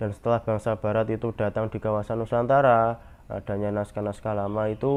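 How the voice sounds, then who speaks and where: With a Javanese accent, a man talks fairly quickly in a fairly low pitch and a monotone, flat intonation. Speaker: university student presenter. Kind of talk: class presentation. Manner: hesitant, with fillers.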